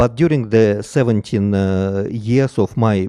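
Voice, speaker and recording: Very slow and dark, mellow in tone, the speech comes with a non-native accent and ordinary pitch variation, in a dry, close recording with no echo and a quiet background. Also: man. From Russia, Moscow. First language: Russian. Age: 50s. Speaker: missionary priest. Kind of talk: lecture. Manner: halting, many fillers.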